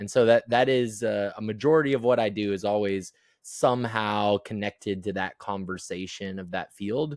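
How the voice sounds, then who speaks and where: Moderate-paced male speech with ordinary pitch variation. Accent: Midwestern American. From US Midwest, Iowa. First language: American Sign Language. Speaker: transpersonal psychologist. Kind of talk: interview conversation. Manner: halting, many repeated words.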